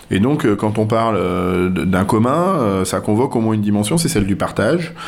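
Noticeable background noise and audible room echo surround the recording. A man talks fairly slowly in a fairly low voice. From western France, near La Rochelle. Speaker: politician, farmer and agronomist. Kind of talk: radio interview. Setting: guest's office. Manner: hesitant, many fillers.

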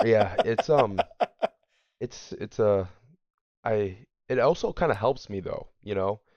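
A man's fairly low voice with ordinary pitch variation, a fairly slow pace, long and frequent pauses, and a quiet background. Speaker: school teacher. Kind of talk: casual podcast chat.

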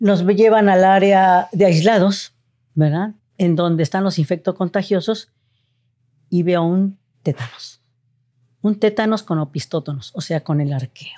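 Recorded very cleanly with a silent background and a dry, close sound without echo, a woman speaks at a medium pitch in a dark, mellow tone, with ordinary pitch variation, a fairly slow pace, and long, frequent pauses. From Mexico City. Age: 60s. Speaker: retired family physician. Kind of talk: interview storytelling.

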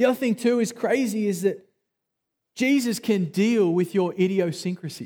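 Speaking with an Australian accent, a man has a high pitch, a dark, mellow tone and ordinary pitch variation. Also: moderate pace, very even loudness, very clean recording, silent background. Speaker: pastor. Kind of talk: sermon. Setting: church.

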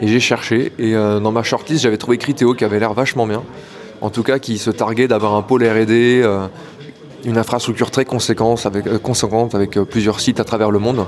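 Against noticeable background noise, a man of medium pitch speaks at a moderate pace with very even loudness and fairly even intonation. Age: 30s. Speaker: site reliability engineer. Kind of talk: career interview monologue. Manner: hesitant, many filler words.

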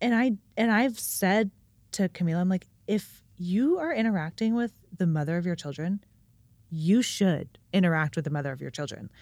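Recorded very cleanly against a silent background, a woman with a plain, everyday voice speaks at a medium pitch and a moderate pace, with lively intonation. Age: 30s. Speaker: businesswoman and amateur pickleball player. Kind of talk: casual chat.

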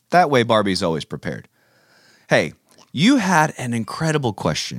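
An animated tone with vocal fry at a fairly slow pace. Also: man. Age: 30s. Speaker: youth pastor and podcast host. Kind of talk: children's Bible talk.

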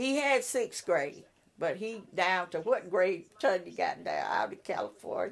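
A woman speaks at a fairly slow pace in a Mississippi accent. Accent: Southern US (Mississippi). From US South (Columbia, Mississippi). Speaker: retired social worker, neighborhood block watch president. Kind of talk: casual interview.

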